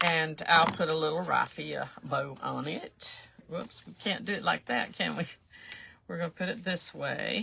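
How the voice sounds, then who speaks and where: A woman speaks in a South Carolina accent at a fairly slow pace. Noticeable background noise runs behind her. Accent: Southern US, South Carolina. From US South. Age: 70s. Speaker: craft livestreamer. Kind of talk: live craft tutorial. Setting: livestream. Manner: casual, rambling with many fillers.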